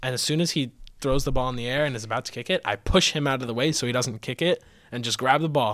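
A man at a very fast pace, with ordinary pitch variation, in a very clean recording with a silent background. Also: medium pitch for a man. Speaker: student podcast co-host. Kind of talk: casual chat.

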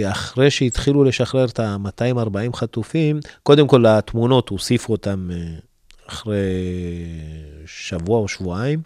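A man's medium-pitched voice with ordinary pitch variation at a fairly slow pace, broken by long, frequent pauses, in a dry, close recording with no echo, very clean against a silent background. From Ethiopia. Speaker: youth counselor and family representative. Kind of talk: interview. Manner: hesitant.

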